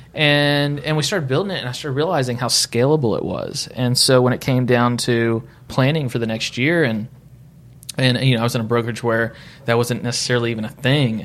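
A man's plain, everyday voice at a medium pitch, with ordinary pitch variation and a fairly quick pace. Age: 30s. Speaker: real estate broker and team leader. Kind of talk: casual interview. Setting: studio.

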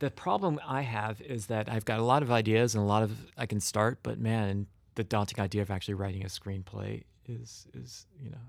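A man with an American accent speaks in a plain, everyday voice at a fairly quick pace and a fairly low pitch. Pitch variation is ordinary, and the recording is very clean with a silent background. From US Midwest. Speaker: creative director at an ad agency. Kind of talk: casual interview chat.

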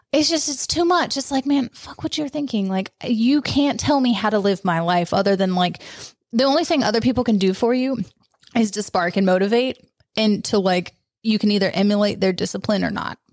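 At a fairly brisk clip, the talking has lively intonation in an unremarkable speaking voice. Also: woman, fairly high pitch for a woman. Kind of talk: casual chat.

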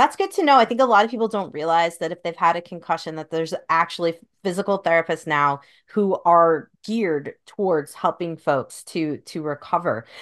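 The woman uses an ordinary speaking voice at a fairly quick pace, her pitch fairly low with ordinary variation. The background is quiet. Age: 40s. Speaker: podcast host, doctor. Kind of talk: casual interview conversation.

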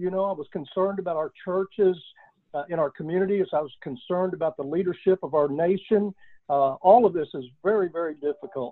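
Talking very fast with a Texan accent, a man has a high pitch and ordinary pitch variation. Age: 60s. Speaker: oil and gas business founder, army veteran. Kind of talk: interview.

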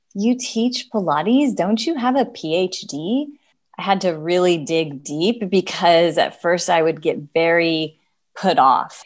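Over a quiet background, a woman with a normal speaking voice talks at a fairly slow pace, medium pitch and lively intonation. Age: 40s. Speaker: gerontologist and Pilates instructor. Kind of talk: interview.

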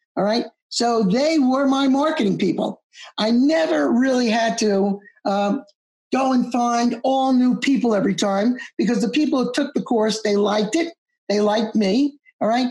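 A woman with an American accent has a high pitch and a dark, mellow tone. She speaks at a moderate pace with ordinary pitch variation and very even loudness. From US Northeast (Long Island, New York). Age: 70s. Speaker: accountant and exam-prep teacher. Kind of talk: interview. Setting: video call.

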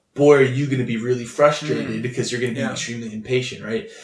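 A man's medium-pitched voice, fairly even in intonation, with audible room echo. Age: 20s. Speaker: youth pastor. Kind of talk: casual chat.

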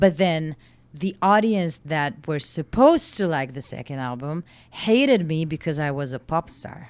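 A woman speaks with a very deep, low pitch and lively intonation at a moderate pace. Her loudness swings widely. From southern Israel. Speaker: singer. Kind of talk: casual chat. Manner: halting.

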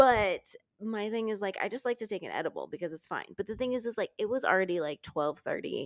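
Talking very fast with lively intonation, a woman comes through in a dry, close recording with no echo. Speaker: podcast co-host. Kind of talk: casual chat. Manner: excitable.

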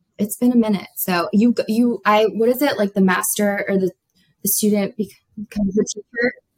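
A woman with an American accent speaks at a moderate pace in a fairly high, somewhat breathy voice, with fairly even intonation and very even loudness. The sound is dry and close, with no echo. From South Florida. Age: 20s. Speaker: nursing student. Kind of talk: casual chat.

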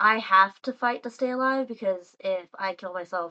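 The voice is quiet, with an American accent. Its pitch varies in an ordinary way. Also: woman. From Texas. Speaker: guest. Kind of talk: casual chat. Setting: voice call.

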